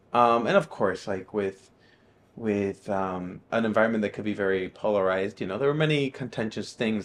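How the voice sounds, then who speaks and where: A man speaks at a moderate pace with a fairly low pitch. His intonation stays fairly even. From Miami, Florida (part of childhood in Nicaragua). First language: Spanish. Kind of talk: testimony. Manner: hesitant, many fillers.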